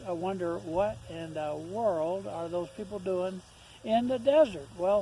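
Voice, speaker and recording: A man with a high voice talks fairly slowly, with ordinary pitch variation, as noticeable background noise continues. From Ohio, then Arizona (Tucson) from age 15. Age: 60s. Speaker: homesteader. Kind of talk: casual vlog talk. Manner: hesitant, many fillers and repeats.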